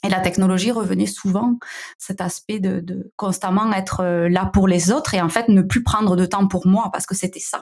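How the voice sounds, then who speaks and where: A woman speaks at a moderate pace with a slight southern French accent. Her pitch sits in the medium range, and her intonation stays fairly even. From southern France. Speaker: founder of a digital wellbeing company. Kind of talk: podcast interview. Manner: hesitant, many fillers.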